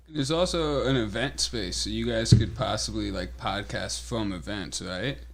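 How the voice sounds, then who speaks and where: An American-accented man with a very deep, low pitch and vocal fry talks at a moderate pace with hardly any pauses, very wide pitch swings and big swings in loudness. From New England (Connecticut). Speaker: swap meet organizer. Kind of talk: casual podcast chat. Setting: podcast studio.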